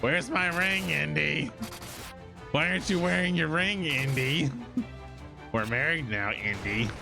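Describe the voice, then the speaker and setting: A man does a put-on character voice at medium pitch and a moderate pace. Loud music plays behind him. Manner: evil, demonic.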